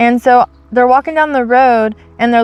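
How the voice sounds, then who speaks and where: A woman speaks loudly with a high pitch and fairly even intonation. The sound is dry and close, with no echo. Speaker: faith channel co-host. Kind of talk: casual discussion. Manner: fast.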